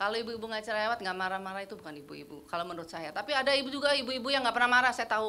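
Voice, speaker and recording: The speech races by at a very fast clip. Pitch leaps up and down widely, and the room echo is easy to hear. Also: woman. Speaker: women's fellowship leader. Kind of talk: casual church fellowship talk.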